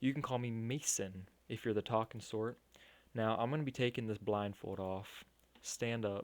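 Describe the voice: Someone does plain reading aloud here.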